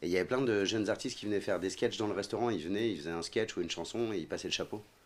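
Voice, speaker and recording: A man with a fairly low pitch talks at a very fast pace. His pitch varies in an ordinary way. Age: 40s. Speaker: actor. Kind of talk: casual chat.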